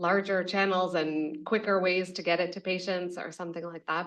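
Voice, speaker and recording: A woman speaks at a fairly low pitch. Her intonation is monotone and flat, at a moderate pace. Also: quiet background. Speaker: medtech company CEO. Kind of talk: panel discussion.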